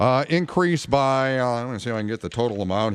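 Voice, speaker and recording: A man's medium-pitched, unremarkable speaking voice with ordinary pitch variation. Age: 50s. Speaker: radio talk show host. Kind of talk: call-in talk radio.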